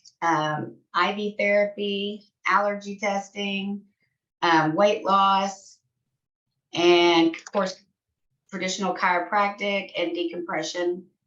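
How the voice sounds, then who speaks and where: A woman with a Texan accent speaks at a very slow pace, her medium-pitched voice moving in a fairly even intonation. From Texas. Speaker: patient care manager. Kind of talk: self-introduction on video call.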